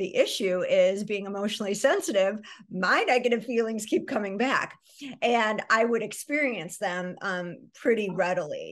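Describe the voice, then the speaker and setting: Over a quiet background, a woman with an American accent talks at a moderate pace, her fairly high voice showing ordinary pitch variation. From US Midwest. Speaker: psychotherapist. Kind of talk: interview. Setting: video call. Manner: frequent filler words. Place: home room. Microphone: video call.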